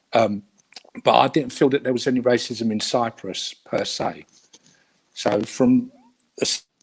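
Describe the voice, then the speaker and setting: In a Cockney accent, a man talks at a fairly slow pace. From London, England. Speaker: guest of Cypriot heritage. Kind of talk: interview. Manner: hesitant.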